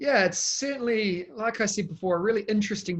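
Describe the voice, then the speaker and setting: In a New Zealand accent, a man speaks at a moderate pace with fairly even intonation against a quiet background. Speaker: education technology consultant. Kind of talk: interview.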